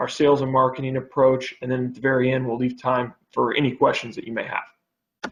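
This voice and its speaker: A fairly high male voice at a fairly quick pace. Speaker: telecom business development manager presenting to city council. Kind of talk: presentation. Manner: fast.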